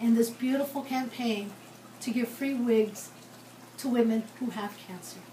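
A woman speaks at a very slow pace, with audible room echo and light background noise. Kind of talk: casual vlog chat. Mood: warm, heartfelt. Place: home room. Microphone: phone near.

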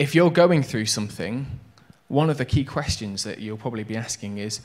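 The intonation of this man's speech is lively. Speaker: preacher. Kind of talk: sermon. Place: church. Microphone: handheld.

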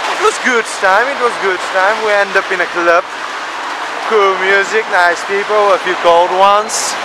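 A man's voice comes through dry with no echo, against noticeable background noise. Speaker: vlogger. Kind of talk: casual vlog chat. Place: street. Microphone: phone near.

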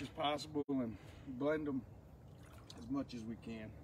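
A man talks at a moderate pace with light background noise. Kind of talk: casual outdoor commentary. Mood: joking, relaxed. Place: waterside. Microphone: camera far.

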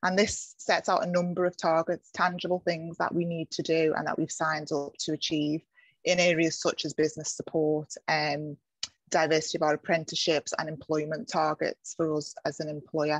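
A woman with a very deep, low pitch speaks at a moderate pace in monotone, flat intonation, the sound dry with no echo over a quiet background. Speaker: local government director. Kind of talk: presentation. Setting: video call. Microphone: video call.

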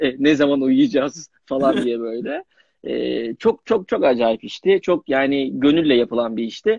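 A man with a fairly high pitch speaks at a fairly slow pace with lively intonation. The sound is dry with no echo, over a quiet background. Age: young. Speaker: young actor. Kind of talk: casual interview. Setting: Instagram live video call. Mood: relaxed, smiling. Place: home room. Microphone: video call.

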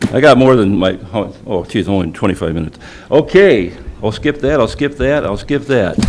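Lively intonation from a man with an American accent, at a fairly quick pace, with noticeable background noise. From Michigan. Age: 70s. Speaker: public commenter at school board meeting. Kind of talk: public comment speech. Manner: animated.

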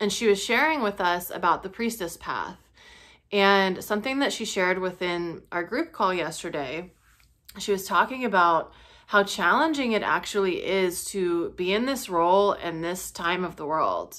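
Over a quiet background, a woman with a bright, sharp tone speaks at a moderate pace. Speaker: spiritual teacher vlogger. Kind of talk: casual vlog chat. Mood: calm, earnest, sometimes laughing. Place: home room. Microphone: phone near.

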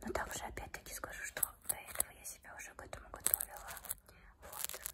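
A woman is whispering. She goes at a very fast pace. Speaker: ASMR creator. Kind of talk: casual talk to camera. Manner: whispered. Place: home room. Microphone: phone near.

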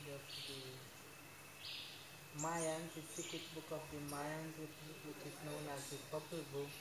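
A man talks at a fairly slow pace, leaving long, frequent pauses. Loud background noise runs underneath. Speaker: tour guide. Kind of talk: guided tour explanation. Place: tunnel cave. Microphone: camera far.

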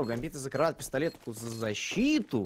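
Fairly slow speech from a man, marked by very wide pitch swings. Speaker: esports commentator. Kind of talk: live esports commentary.

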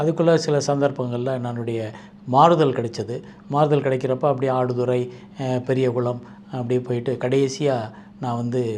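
Noticeable background noise behind a man of medium pitch with fairly even intonation. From Madurai, Tamil Nadu. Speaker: mushroom researcher and trainer. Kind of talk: interview monologue.

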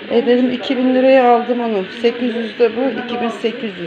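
Noticeable background noise sits behind a woman's fairly high-pitched voice. She speaks at a fairly slow pace with monotone, flat intonation. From Turkey. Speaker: home cooking vlogger. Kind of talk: casual cooking vlog talk. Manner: soft-spoken. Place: home room. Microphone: phone near.

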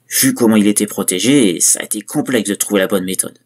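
Lively intonation and a moderate pace from a man. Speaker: creepypasta narrator. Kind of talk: horror story narration, first-person parody as a killer. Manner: darkly gleeful, conspiratorial, relishing gruesome details.

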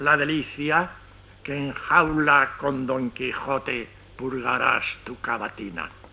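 The man talks at a very slow pace with ordinary pitch variation. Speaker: poet reciting his own poem. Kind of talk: poetry reading. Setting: old radio archive recording. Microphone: old recording.

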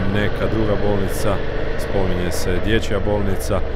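Loud background noise surrounds a man speaking at a fairly slow pace, though the sound itself is dry with no echo. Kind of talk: casual moto-vlog commentary. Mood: relaxed, informative. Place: motorbike. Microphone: helmet.

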